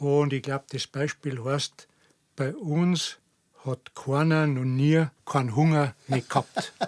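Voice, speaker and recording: A man with a Bavarian accent, fairly high pitch and a very slow pace, his intonation fairly even, in a dry, close sound with no echo. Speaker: dialect enthusiast. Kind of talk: casual chat.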